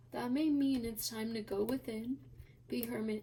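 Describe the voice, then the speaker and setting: Soft-spoken and fairly high in pitch, a woman talks at a fairly slow pace with fairly even intonation. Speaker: tarot reader. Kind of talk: tarot reading video. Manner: quiet, soft-spoken.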